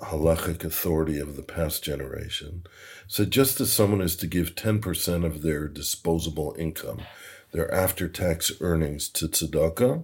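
In a very clean recording with a silent background, a man with a very deep, low and somewhat breathy voice speaks fairly slowly, varying his pitch in an ordinary way. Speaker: rabbi and hedge fund president. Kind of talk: casual interview. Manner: upbeat.

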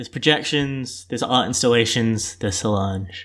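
Speaking at a fairly quick pace, a man has an Australian accent. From Melbourne, Australia. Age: 20s. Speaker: bartender and student. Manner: joking, playful.

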